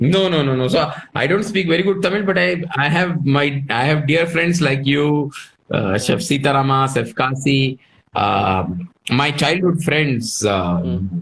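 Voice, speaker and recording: A man with a Telugu accent speaks at a fairly slow pace and fairly high pitch for a man. His pitch swings very widely while his loudness stays very even. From southern India, Karnataka. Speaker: chef. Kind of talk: casual interview.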